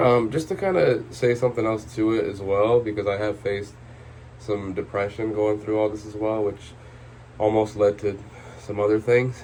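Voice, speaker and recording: At a moderate pace, a man speaks in a fairly low, somewhat breathy voice with fairly even intonation. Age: 20s. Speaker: vlogger. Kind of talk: personal vlog monologue. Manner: hesitant, many filler words.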